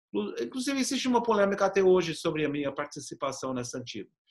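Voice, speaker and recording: A man speaks with a non-native accent. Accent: foreign accent in Portuguese. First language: English (speaking Portuguese). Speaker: professor and activist. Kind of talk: interview. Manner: halting, with repetitions.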